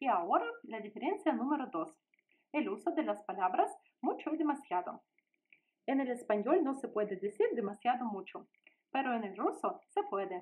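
A woman's high-pitched voice at a moderate pace, with very wide pitch swings and long, frequent pauses. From Russia. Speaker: language teacher. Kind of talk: tutorial. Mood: friendly, smiling. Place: home room. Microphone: phone near.

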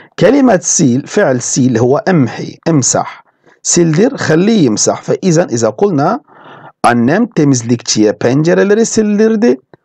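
With a dark, mellow tone, a man speaks at a high pitch with very wide pitch swings, very even loudness, and a moderate pace. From Turkey. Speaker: language teacher. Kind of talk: lecture.

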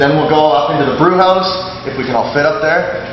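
A man speaks with audible room echo and noticeable background noise. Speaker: brewery tour guide. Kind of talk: tour guide talk to a group. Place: factory. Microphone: camera far.

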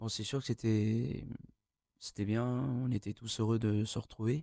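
Very slow speech in a dark, mellow tone comes through with a dry sound, no echo, and a quiet background. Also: man. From France (Burgundy), born in Tahiti. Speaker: adoptee sharing his story. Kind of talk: TV interview. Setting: TV studio. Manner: halting, many hesitations. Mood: calm, reflective. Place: studio. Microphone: studio mic.

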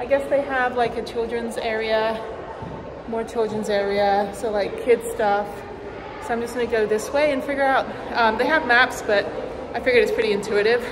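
A woman talks at an average speed while clear background noise runs underneath. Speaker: travel vlogger. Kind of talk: casual vlog chat. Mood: cheerful, amused. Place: hall. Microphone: phone near.

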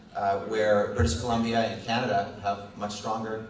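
There is audible room echo. A man speaks at a moderate pace. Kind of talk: public speech. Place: hall. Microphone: podium.

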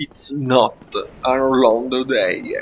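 Very slow speech from a man over light background noise. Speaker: gameplay commentator. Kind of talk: casual let's play commentary. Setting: poor quality microphone. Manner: self-deprecating.

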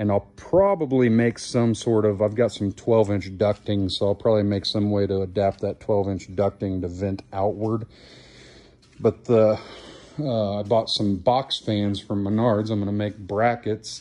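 At a fairly slow pace, a man speaks in an unremarkable speaking voice, fairly low in pitch, with fairly even intonation. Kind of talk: casual vlog chat. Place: garage. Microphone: phone near.

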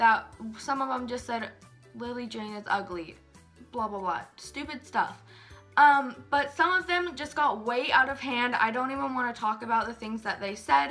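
At a moderate pace, a woman with a high pitch and ordinary pitch variation speaks over faint background music. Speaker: youtuber. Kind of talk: casual vlog chat. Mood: earnest, explaining a hard time. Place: home room. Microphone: phone near.

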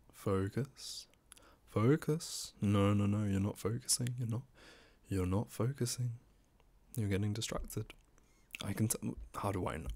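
Soft-spoken and somewhat breathy, a man talks at a moderate pace in a dark, mellow tone, fairly low in pitch. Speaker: ASMR creator. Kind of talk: ASMR roleplay. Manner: commanding, bossy but encouraging. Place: home room. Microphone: studio mic.

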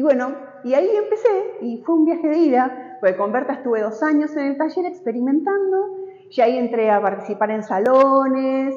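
A woman with a Rioplatense accent speaks at a moderate pace, her high pitch swinging very widely. Audible room echo surrounds her voice. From Argentina. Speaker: textile artist. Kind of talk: interview about her artwork in a gallery. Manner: halting, frequent fillers. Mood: warm, nostalgic. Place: hall. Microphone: lapel.

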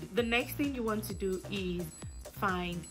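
Music plays behind the voice. A woman talks at a fairly slow pace. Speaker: small business owner. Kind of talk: tutorial explanation.

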